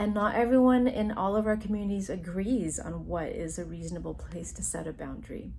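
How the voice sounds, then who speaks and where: Speaking fairly quickly, a woman's voice carries noticeable echo from the room. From US, Taiwanese Chinese immigrant family. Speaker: university counselor, psychologist. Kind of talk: educational talk to camera.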